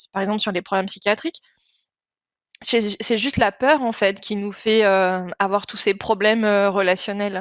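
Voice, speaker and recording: Here is a woman with a plain, everyday voice at a medium pitch. She keeps a moderate pace and fairly even intonation. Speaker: podcast host. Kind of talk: podcast interview conversation.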